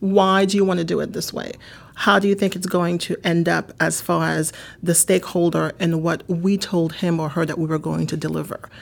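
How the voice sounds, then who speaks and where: A woman speaks with a Haitian accent. Her pace is moderate. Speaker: marketing executive. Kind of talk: interview.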